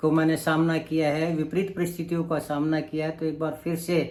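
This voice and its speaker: A man's high voice, with audible room echo. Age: 60s. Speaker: vlogger. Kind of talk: vlog monologue. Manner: halting.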